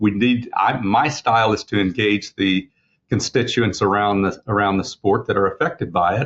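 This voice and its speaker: A man with an American accent speaks at a fairly low pitch. His pace is moderate and his pitch varies in an ordinary way. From Oklahoma. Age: 60s. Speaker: racehorse owner and breeder. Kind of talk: interview. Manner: halting, many repetitions.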